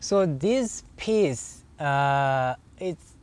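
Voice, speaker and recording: This is a man speaking with a Zimbabwean accent. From Zimbabwe, rural Eastern Highlands. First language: Shona. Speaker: sculptor. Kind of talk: interview in his studio. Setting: artist's studio. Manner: halting, many fillers.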